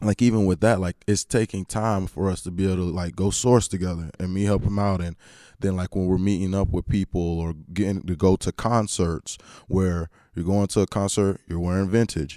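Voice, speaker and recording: A man with an American accent speaks at a fairly quick pace, his very deep, low voice dark and mellow in tone with fairly even intonation. The sound is dry and close with no echo, on a very clean recording with a silent background. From North Carolina. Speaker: musician and worship leader. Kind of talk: casual chat.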